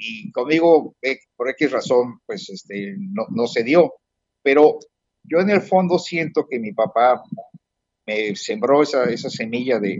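At a very slow pace, a man speaks with medium pitch and very wide pitch swings. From Mexico, Puebla city. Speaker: retired businessman. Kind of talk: interview. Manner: halting.

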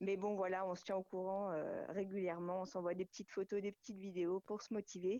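In a dry, close sound with no echo, a woman's dark, mellow voice runs on with hardly any pauses at a medium pitch and in a flat monotone. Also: fairly quick pace. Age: 40s. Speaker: amateur raid participant. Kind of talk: radio interview.

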